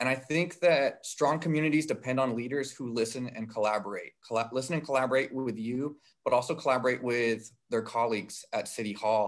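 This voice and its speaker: A man talks at a fairly quick pace, his pitch varying in an ordinary way, with a quiet background. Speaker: council candidate. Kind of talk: candidate introduction speech. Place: home room. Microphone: video call.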